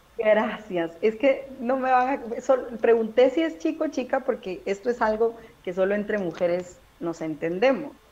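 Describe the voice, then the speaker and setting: Over noticeable background noise, a woman speaks fairly slowly with lively intonation and a fairly high pitch. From Guatemala City. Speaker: stand-up comedian. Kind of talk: casual chat. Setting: video call.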